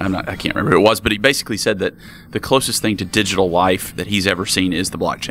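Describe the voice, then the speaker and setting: A bright, sharp tone with a Southern US accent. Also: man. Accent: southern drawl. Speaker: crypto podcast interviewer. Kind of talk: interview. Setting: conference interview room.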